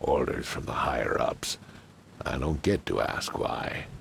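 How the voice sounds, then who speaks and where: Putting on a character voice, a man speaks at a fairly slow pace in an extremely high pitch. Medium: video game. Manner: curt, streetwise.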